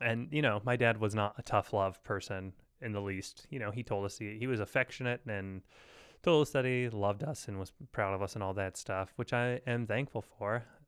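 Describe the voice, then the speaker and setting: A man with an unremarkable speaking voice talks at a moderate pace against a quiet background. His pitch is fairly low, with ordinary pitch variation. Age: 30s. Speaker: podcast host. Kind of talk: casual chat.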